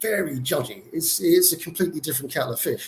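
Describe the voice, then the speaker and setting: This is a man with a British accent. His voice is somewhat breathy. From UK. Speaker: former Jehovah's Witness. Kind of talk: testimony.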